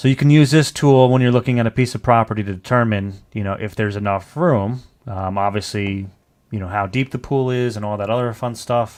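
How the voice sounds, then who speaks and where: With a fairly low pitch and ordinary pitch variation, a man speaks at a fairly quick pace. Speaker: real estate agent teaching land analysis. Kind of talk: livestream tutorial. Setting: livestream video call. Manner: fast; casual, many fillers.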